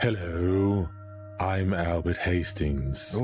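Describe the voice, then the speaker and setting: Over clear background music, a man does a put-on character voice pitched very deep and low. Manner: creepy.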